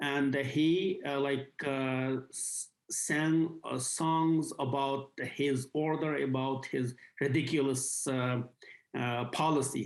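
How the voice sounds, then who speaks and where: The speaker talks at a very slow pace with a Xinjiang accent. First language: Uyghur. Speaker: activist. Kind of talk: interview. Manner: halting, many fillers.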